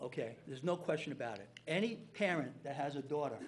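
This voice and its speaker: A man's fairly high, somewhat breathy voice with an American accent, fairly quick pace and ordinary pitch variation. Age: 60s. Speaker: town official. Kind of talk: public meeting statement.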